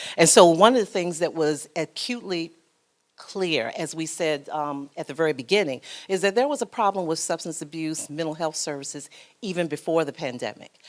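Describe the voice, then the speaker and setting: Her pitch fairly low and her intonation lively, a woman speaks in a normal speaking voice. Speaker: foundation program officer and social worker. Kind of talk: panel presentation. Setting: conference breakout session.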